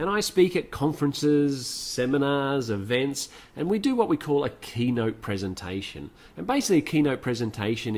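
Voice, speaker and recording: Someone speaks at a fairly quick pace in an Australian accent. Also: man. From Australia (Sydney area). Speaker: motivational speaker. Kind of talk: webinar presentation.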